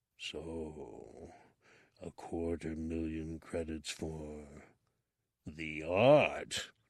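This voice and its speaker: Putting on a character voice, a man rumbles at a very deep, low pitch with fairly even intonation, a very slow pace and long, frequent pauses, on a very clean recording with a silent background. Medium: read story. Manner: slow, regal, speaks of himself as we.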